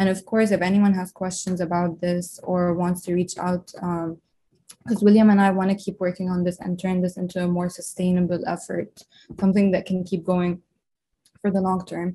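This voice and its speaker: A woman's somewhat breathy voice, dark and mellow in tone, sits at medium pitch with monotone, flat intonation and a moderate pace. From Lebanon. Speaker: medical student. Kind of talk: interview.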